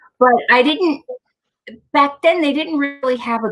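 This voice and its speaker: Against a quiet background, a woman talks with a Long Island accent. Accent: Long Island New York. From Long Island, New York; New York. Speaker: inventor and nurse; guest. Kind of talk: interview. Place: home room. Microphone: webcam.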